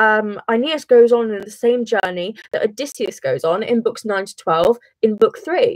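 With a British accent, the voice comes across as a dry sound with no echo against a quiet background. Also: woman. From England. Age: young. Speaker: A-level student. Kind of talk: casual study livestream talk to camera. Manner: rushed. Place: home room. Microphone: webcam.

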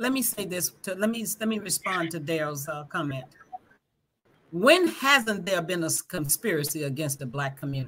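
A woman speaks with an American accent and lively intonation. Light background noise can be heard. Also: fairly low pitch for a woman, moderate pace. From Greenwood, Mississippi; Mississippi. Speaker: school board candidate; guest, candidate. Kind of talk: livestream panel discussion. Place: home room.

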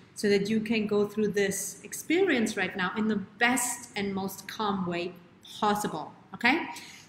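Light background noise and audible room echo surround a voice with ordinary pitch variation. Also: woman. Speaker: show host, wellness coach. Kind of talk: live stream host chat. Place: home room. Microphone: webcam.

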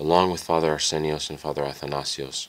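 Noticeable background noise sits under speech at a moderate pace with monotone, flat intonation. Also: man. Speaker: audiobook narrator.

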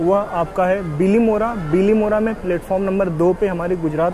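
Over noticeable background noise, a man with a high pitch talks at a fairly slow pace with fairly even intonation. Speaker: travel vlogger. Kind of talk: casual vlog chat. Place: train. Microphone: lapel.

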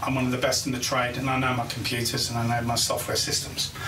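The speech runs at a fairly quick pace. Music plays in the background. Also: man. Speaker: IT analyst show host. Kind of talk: casual explainer commentary.

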